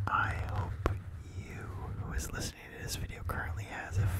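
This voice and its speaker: Loud background noise runs through the clip. The talking keeps a moderate pace. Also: man. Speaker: ASMR creator. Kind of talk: ASMR. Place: home room. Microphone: handheld.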